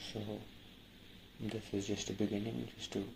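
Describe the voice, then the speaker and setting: Somewhat breathy, a man with a fairly low pitch and a dark, mellow tone speaks at a moderate pace. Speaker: YouTuber. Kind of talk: casual talk to camera. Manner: halting, stammering.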